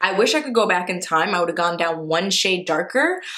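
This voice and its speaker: A woman with a New York accent, lively intonation and a moderate pace. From New York, the Bronx. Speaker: vlogger. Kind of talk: casual vlog.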